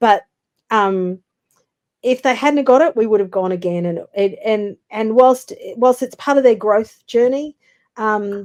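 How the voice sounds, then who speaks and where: In an Australian accent, a woman with a fairly high pitch and ordinary pitch variation speaks at a fairly slow pace with long, frequent pauses, the sound dry and close with no echo. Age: 60s. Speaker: business development consultant. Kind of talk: interview.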